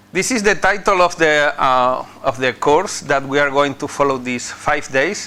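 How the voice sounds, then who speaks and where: A fairly high-pitched man's voice with a bright, sharp tone, ordinary pitch variation and a moderate pace. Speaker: visiting professor. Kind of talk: lecture. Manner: halting, many fillers.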